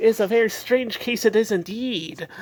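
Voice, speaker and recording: A woman performs a cartoonish character voice. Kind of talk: comic overacting. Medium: puppet show. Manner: rambling, hesitant.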